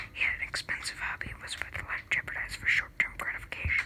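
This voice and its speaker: Someone whispers over noticeable background noise. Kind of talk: ASMR book reading.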